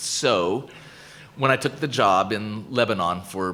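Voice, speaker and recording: A man in an American accent talks in a bright, sharp tone. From United States. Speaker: professor. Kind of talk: lecture Q&A. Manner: halting, many repetitions.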